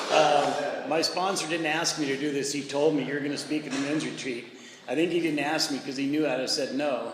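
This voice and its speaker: The voice moves at a fairly quick pace in a flat monotone, with audible room echo and noticeable background noise. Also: man, fairly high pitch for a man. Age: 70s. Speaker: recovery speaker at men's retreat. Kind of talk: testimony. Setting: men's retreat audience.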